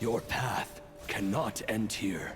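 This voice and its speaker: A man's put-on character voice at a medium pitch with clear music in the background. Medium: game stream. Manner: solemn, urging.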